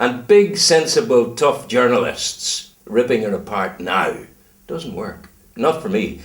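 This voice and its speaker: A man is speaking. He has a Northern Irish accent. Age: 70s. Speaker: retired broadcaster. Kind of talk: casual interview chat. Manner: animated.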